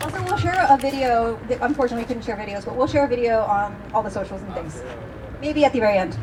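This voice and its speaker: Over noticeable background noise, a woman talks very fast in a fairly high voice, animated in tone, with ordinary pitch variation and big swings in loudness. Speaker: event host. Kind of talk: live event introduction. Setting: stage with live audience.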